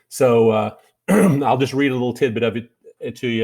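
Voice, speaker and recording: With a Kentucky accent, a man speaks in a very clean recording over a silent background. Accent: Kentucky drawl. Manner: reads aloud from a written text; hesitant, frequent "uh" fillers.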